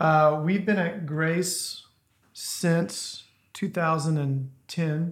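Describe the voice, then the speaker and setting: A man with a Southern US accent, high-pitched for a man, with fairly even intonation at a very slow pace. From US South, northern Louisiana. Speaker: church member. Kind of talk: testimony.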